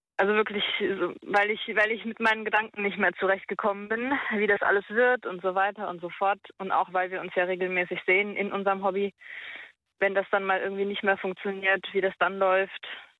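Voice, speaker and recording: Her pitch is medium and her pace fairly quick. The woman's intonation stays monotone and flat. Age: 20s. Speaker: caller. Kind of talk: phone-in conversation. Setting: phone call. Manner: halting.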